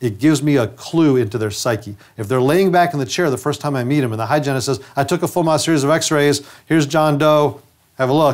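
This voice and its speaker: Man with an American accent at a very fast pace, ordinary pitch variation and a quiet background. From upstate New York. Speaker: dentist and trainer; trainer. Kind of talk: lecture. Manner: conversational. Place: studio. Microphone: lapel.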